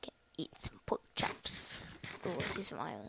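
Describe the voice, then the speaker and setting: Someone whispers at a very slow pace. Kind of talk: casual gameplay commentary.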